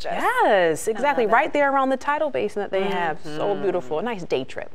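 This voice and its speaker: Noticeable background noise runs under a woman's voice. Her pitch is fairly high, with very wide swings. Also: fairly quick pace. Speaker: TV news anchor and reporter. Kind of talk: casual on-air banter. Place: studio.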